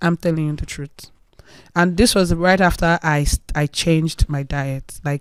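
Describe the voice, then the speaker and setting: A woman speaks with a Nigerian accent, fairly slowly and with fairly even intonation. The sound is dry and close, with no echo. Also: fairly low pitch for a woman. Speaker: influencer sharing health journey. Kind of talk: interview testimony.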